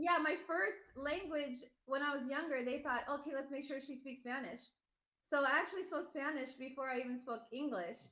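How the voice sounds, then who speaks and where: A raised, projected woman's voice with an American accent, high-pitched, bright and sharp in tone, with ordinary pitch variation and audible room echo. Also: moderate pace. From US West Coast, Los Angeles (Northridge). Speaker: mother in a family of online video creators. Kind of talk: podcast interview, casual chat.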